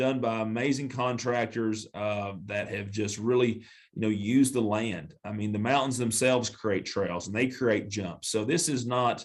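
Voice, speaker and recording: This man speaks with a Southern accent at a medium pitch. His pace is moderate, with ordinary pitch variation. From western North Carolina. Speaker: mayor and attorney. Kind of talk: podcast interview.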